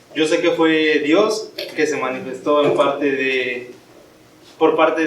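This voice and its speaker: A man's fairly high voice comes with audible room echo and noticeable background noise. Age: 20s. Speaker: young church member giving a youth message. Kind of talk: sermon. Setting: church.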